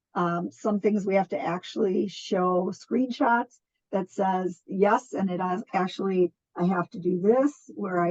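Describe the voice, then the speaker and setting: A woman speaks at a fairly slow pace in a medium pitch with ordinary pitch variation, a plain, everyday voice, recorded with a dry, close sound and no echo. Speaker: nonprofit program coordinator. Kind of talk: online funding presentation.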